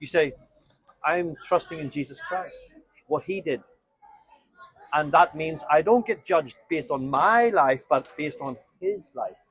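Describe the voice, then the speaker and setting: Fairly high in pitch, a man speaks at a fairly slow pace with lively intonation. His loudness swings widely, and he leaves long, frequent pauses. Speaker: street evangelist. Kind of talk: street evangelism conversation. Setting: outdoors on the street.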